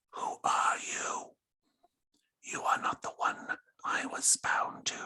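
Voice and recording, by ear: Raspy whispering carries a put-on character voice. The pace is fairly slow.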